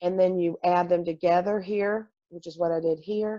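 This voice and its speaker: Here is a woman with a plain, everyday voice, fairly low in pitch and fairly even in intonation. The sound is dry and close with no echo, and the background is quiet. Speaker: math teacher. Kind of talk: tutorial.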